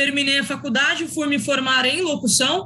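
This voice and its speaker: A woman speaks at a high pitch. Her voice is raised and projected. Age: young. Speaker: sports commentator. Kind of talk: casual chat. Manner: formal.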